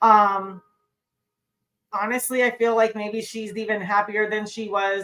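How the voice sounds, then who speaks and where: A woman with a plain, everyday voice, fairly high in pitch, at a fairly slow pace. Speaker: psychic medium. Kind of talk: live stream psychic reading. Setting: live stream.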